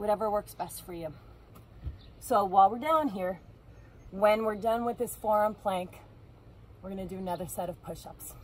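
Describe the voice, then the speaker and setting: Somewhat breathy, a woman speaks with big swings in loudness and long, frequent pauses. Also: ordinary pitch variation, moderate pace. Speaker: fitness instructor. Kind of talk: workout instruction. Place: waterside. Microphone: camera far.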